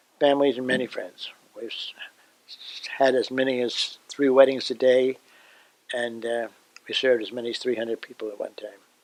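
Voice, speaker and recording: A man talks in a flat monotone, his loudness swinging widely, with long, frequent pauses. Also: medium pitch for a man, fairly quick pace. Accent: New Jersey. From New Jersey, USA. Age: 80s+. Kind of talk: interview answer.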